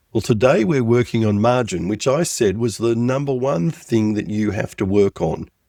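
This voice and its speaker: With an Australian accent, the speaker has a dark, mellow tone and ordinary pitch variation. The pace is moderate, with hardly any pauses. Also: man, medium pitch for a man. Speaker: business coach. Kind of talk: podcast tutorial.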